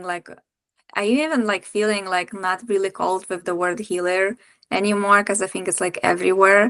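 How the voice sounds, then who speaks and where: Speaking at a moderate pace, a woman with a Lithuanian accent has a medium pitch. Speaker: breathwork practitioner and women's circle facilitator. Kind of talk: podcast interview.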